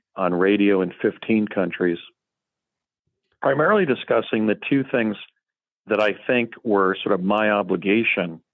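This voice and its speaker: A man's fairly low voice at a fairly quick pace. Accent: American. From United States. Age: 60s. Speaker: lawyer and guest claiming secret program experience. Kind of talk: interview testimony.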